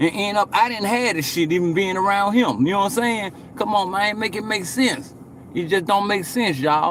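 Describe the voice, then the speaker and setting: A man's high voice at a moderate pace, with ordinary pitch variation and noticeable background noise. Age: 40s. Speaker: livestreamer. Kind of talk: casual livestream chat.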